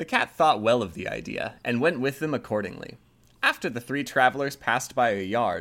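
What you hear is a natural reading voice.

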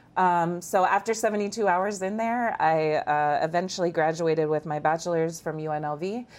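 In an American accent, a woman speaks in an ordinary speaking voice at a fairly low pitch. Her pace is moderate, with ordinary pitch variation and hardly any pauses. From Iowa, small town. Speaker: human trafficking survivor. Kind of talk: testimony.

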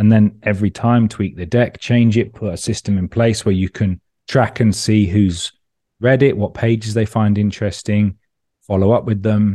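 Over a quiet background, a man with a London accent talks at a moderate pace, his fairly low pitch and dark, mellow tone set in monotone, flat intonation. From London, England. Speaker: startup founder. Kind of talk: interview. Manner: casual, relaxed.

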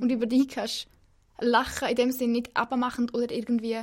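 A woman's high-pitched voice in a flat monotone at a moderate pace. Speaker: podcast co-host. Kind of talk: casual interview chat. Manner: loud.

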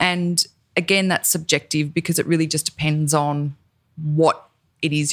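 The delivery is monotone and flat at a moderate pace, on a very clean recording with a silent background. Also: woman. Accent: Australian. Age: 40s. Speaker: podcast host and cosmetics founder. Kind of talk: casual chat.

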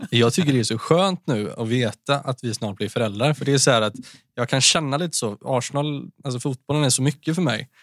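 In an ordinary speaking voice, a man at a medium pitch talks at a fairly quick pace with ordinary pitch variation, on a very clean recording with a silent background and a dry, close sound with no echo. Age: 20s. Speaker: mental health speaker. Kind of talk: casual interview, personal testimony.

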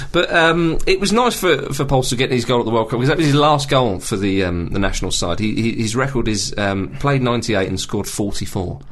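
Over noticeable background noise, a man with a British accent talks at a very fast pace with hardly any pauses, a medium pitch and lively intonation. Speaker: football podcast host. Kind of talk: casual chat.

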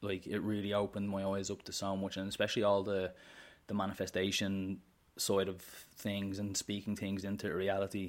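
A fairly quick, monotone, flat delivery in a Dublin accent on a very clean recording with a silent background. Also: man, fairly low pitch for a man. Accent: Dublin Irish. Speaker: menswear content creator. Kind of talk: casual interview chat.

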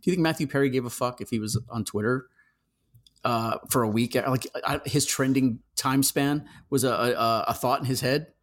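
Medium-pitched male voice, an unremarkable speaking voice, at a moderate pace with fairly even intonation. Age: 50s. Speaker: horror magazine editor. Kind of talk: casual chat.

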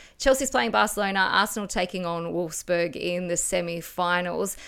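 In an Australian accent, a woman speaks on a very clean recording with a silent background. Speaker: football pundit, former player. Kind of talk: casual chat.

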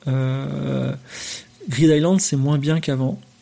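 A man with ordinary pitch variation speaks at a moderate pace amid noticeable background noise. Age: 40s. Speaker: podcast host. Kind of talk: live stream monologue. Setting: live on Twitch. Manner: hesitant, many fillers.

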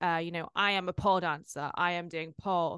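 A woman with a British accent speaks at a moderate pace with fairly even intonation, in a dry, close sound with no echo and a quiet background. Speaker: podcast host. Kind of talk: casual interview.

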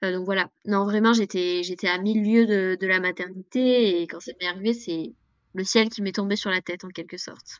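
Speaking at a moderate pace and medium pitch, a woman keeps fairly even intonation while her loudness swings a lot. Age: 20s. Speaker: single mother, traveler. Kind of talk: interview testimony. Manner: hesitant, many filler words.

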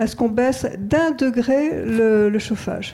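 This woman's voice has a dark, mellow tone and a fairly high pitch. She speaks at a very slow pace. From rural France. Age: 70s. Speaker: audience member. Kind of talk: audience question. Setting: stage with audience.

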